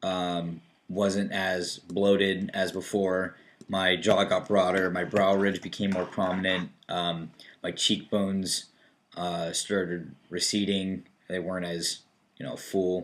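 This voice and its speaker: A man talks at a very slow pace. His pitch is very deep and low, and his intonation is monotone and flat. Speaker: video blogger. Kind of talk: casual chat.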